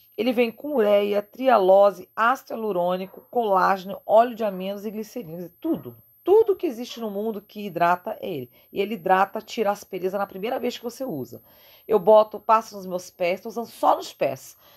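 Against a quiet background, a woman speaks at a moderate pace in an animated tone, her intonation lively and her loudness swinging widely. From Brazil. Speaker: beauty vlogger. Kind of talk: product review vlog. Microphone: phone near.

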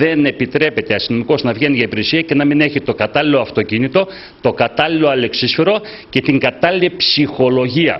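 The man's voice rises and falls with ordinary pitch variation. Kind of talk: interview answer. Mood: complaining, earnest. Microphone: handheld.

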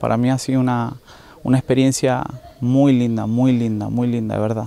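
The intonation is monotone and flat. The sound is dry, with no echo. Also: man. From Argentina. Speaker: rehab community leader. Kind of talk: testimony. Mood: grateful, warm. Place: garden. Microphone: handheld.

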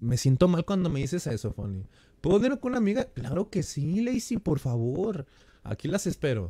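A man with a Mexican accent talks in a high pitch at a moderate pace over a quiet background. His tone is animated, with very wide pitch swings. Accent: Mexican Spanish (Jalisco). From Mexico, Jalisco. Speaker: gaming streamer. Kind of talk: live game stream chat. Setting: live stream. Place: home room. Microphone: headset.

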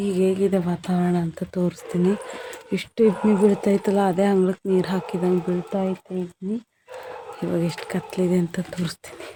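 Soft-spoken and monotone, a woman talks at medium pitch with flat intonation. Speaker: lifestyle vlogger, homemaker. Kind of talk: daily vlog narration. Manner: quiet, speaking softly while child sleeps.

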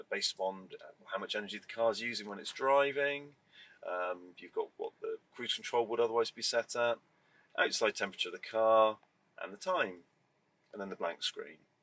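A man talks at a moderate pace. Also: long, frequent pauses, big swings in loudness. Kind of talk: tutorial. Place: car.

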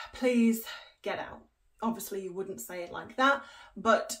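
A woman's voice, with ordinary pitch variation, comes through over a quiet background. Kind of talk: casual vlog chat. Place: home room.

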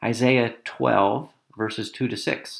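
Fairly even intonation marks this man's speech. He uses a normal speaking voice at a medium pitch. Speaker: church prayer leader. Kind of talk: spoken prayer, solemn and devotional, followed by an intoned Amen. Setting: online video. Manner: slow, reverent, gentle and measured.

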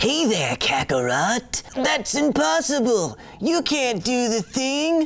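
Someone does a put-on character voice, pitched fairly high and delivered at a fairly slow pace. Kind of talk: casual explainer commentary. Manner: condescending, villainous.

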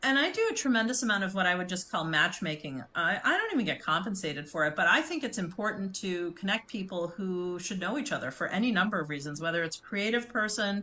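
Speaking at a very fast pace, a woman with an American accent shows ordinary pitch variation. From US Midwest, Chicago. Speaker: branding and communications consultant; interview guest. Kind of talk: interview conversation. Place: home room.

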